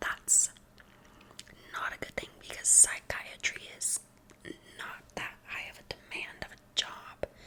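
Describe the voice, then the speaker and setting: A woman whispers at a very slow pace with long, frequent pauses and big swings in loudness, against noticeable background noise. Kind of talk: ASMR whispered introduction and rambling to camera. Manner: soft-spoken, whispering.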